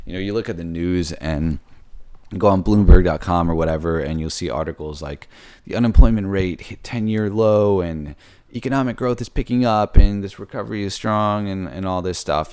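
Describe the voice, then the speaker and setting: A man speaks at a fairly quick pace in a very deep, low voice with ordinary pitch variation. The recording is very clean, and the background is silent. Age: 20s. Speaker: software engineer vlogger. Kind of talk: casual monologue. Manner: halting, stuttering; many fillers.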